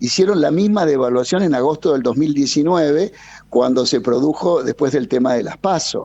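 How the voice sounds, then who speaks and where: This man talks at a moderate pace, with a fairly high pitch and ordinary pitch variation. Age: 60s. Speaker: energy consultant. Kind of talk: radio interview. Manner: animated.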